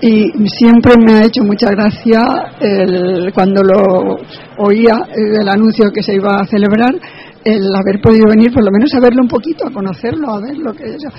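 A woman's fairly high voice with ordinary pitch variation, big swings in loudness, a moderate pace and noticeable background noise. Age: 70s. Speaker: elderly blogger attendee. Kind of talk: casual interview.

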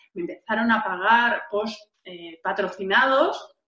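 Speaking at a very slow pace, a woman uses a fairly high pitch and a bright, sharp tone. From Valencia, Spain. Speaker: entrepreneur and author. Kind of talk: interview. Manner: expressive, gesturing.

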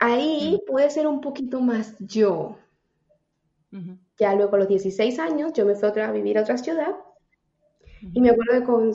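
This woman has an unremarkable speaking voice, pitched fairly high. She talks at a moderate pace with lively intonation. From Venezuela, Táchira. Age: 30s. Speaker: personal development coach. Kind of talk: casual interview.

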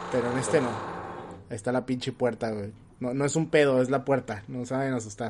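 Fairly quick male speech at medium pitch, fairly even intonation, with noticeable background noise. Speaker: podcast host. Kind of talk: casual chat. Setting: live stream.

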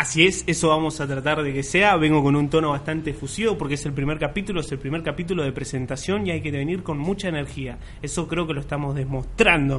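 Very fast speech from a man with hardly any pauses, fairly high in pitch, with fairly even intonation and audible room echo. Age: 20s. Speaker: podcast co-host, psychology student. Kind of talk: casual chat.

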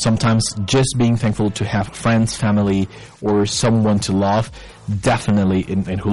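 Fairly quick speech with a Spanish accent and fairly even intonation, over noticeable background noise. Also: man. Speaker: English teacher / language show host. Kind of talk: live-streamed educational talk. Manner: hesitant, many fillers.

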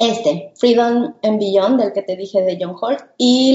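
Woman at medium pitch, an ordinary speaking voice, ordinary pitch variation, fairly slow pace. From Mexico, Guadalajara. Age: 40s. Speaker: podcast co-host, homeschooling mother. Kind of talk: casual chat.

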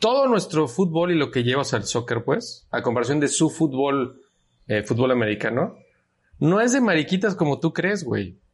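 With a Mexican accent, a man speaks at a moderate pace against a quiet background, his fairly high, somewhat breathy voice swinging very widely in pitch while its loudness stays very even. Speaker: podcast co-host. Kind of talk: casual chat.

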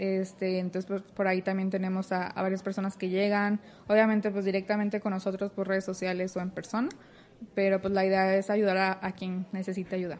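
At a fairly quick pace, a woman speaks with a medium pitch and monotone, flat intonation. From Mexico, Torreón, Coahuila. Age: 20s. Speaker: biomedical engineering student and robotics mentor. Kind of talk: casual interview. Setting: office cafeteria, handheld mic.

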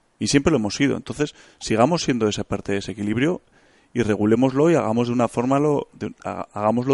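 A man's unremarkable speaking voice, medium in pitch with ordinary pitch variation, at a fairly quick pace, in a dry, close sound with no echo against a quiet background. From Spain, Bilbao (Basque Country). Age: 30s. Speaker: hunter and engineer. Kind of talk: casual interview.

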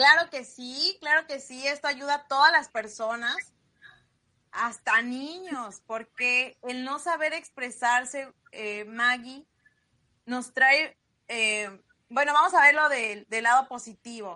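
Speaking at a very slow pace, a woman projects her high, bright, sharp voice with ordinary pitch variation and big swings in loudness. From Mexico, Sierra Norte de Puebla. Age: 30s. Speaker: entrepreneur. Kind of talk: interview.

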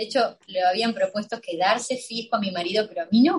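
At a moderate pace, a woman talks in a somewhat breathy voice. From Argentina. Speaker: illustrator and designer. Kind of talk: interview. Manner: animated.

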